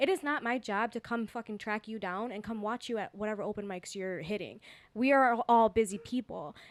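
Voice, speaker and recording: Fairly quick woman's voice, fairly high in pitch with ordinary pitch variation, on a very clean recording with a silent background. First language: not English. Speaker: comedian and podcast co-host. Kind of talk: casual chat.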